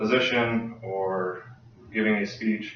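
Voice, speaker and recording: Amid noticeable background noise and audible room echo, a man speaks at a fairly slow pace in a fairly low pitch. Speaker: Navy sailor and college student. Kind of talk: class speech assignment. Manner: halting with many fillers.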